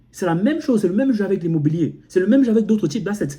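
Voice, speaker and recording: A man speaks with an African accent. His tone is dark and mellow, with lively intonation. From Cameroon. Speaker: motivational YouTuber. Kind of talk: motivational vlog monologue. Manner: repetitive, halting with frequent self-restarts.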